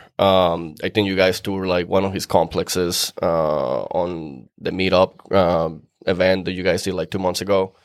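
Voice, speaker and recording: Speaking in a Venezuelan accent, a man with a very deep, low pitch goes at a fairly slow pace with hardly any pauses, his intonation monotone and flat on a very clean recording with a silent background. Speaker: real estate investor. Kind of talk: casual podcast interview.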